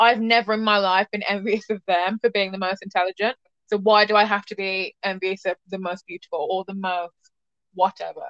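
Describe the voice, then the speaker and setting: A woman's medium-pitched voice with fairly even intonation, an ordinary speaking voice. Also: fairly quick pace. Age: young. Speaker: podcast host. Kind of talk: casual chat.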